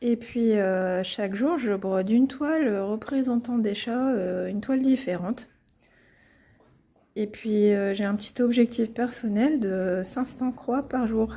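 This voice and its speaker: At a fairly slow pace, a woman speaks with a fairly high pitch, a dark, mellow tone and ordinary pitch variation. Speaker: cross-stitch YouTuber. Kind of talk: casual tutorial. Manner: hesitant, many fillers.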